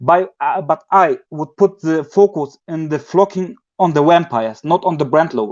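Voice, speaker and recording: Against a quiet background, the speaker uses a non-native accent, a moderate pace and ordinary pitch variation, in a dry, close sound with no echo. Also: man. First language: not English. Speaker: community member asking a question. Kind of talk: live community call. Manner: halting, many fillers.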